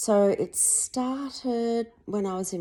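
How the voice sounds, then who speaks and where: Her tone is mellow and dark. Behind her, the background stays quiet. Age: 50s. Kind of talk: casual talk to camera.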